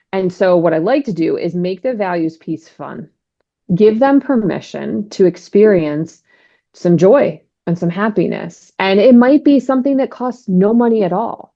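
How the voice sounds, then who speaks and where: An unremarkable speaking voice from a woman, with lively intonation. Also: medium pitch for a woman, moderate pace. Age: 40s. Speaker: divorce and life coach. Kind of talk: interview conversation.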